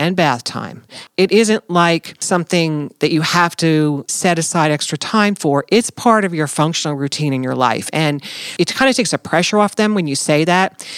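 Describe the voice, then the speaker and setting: A woman with an American accent speaks in a fairly low pitch. The sound is dry and close with no echo, though noticeable background noise is present. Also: lively intonation, moderate pace. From New Jersey. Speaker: pediatric therapist and team lead. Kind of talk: casual professional interview.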